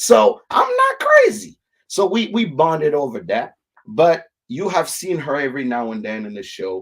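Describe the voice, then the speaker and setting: A man with a non-native accent speaks at a moderate pace and fairly high pitch, in an animated tone. His pitch swings very widely and his loudness shifts a lot. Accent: immigrant. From Africa. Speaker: whiskey show host. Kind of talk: live stream chat.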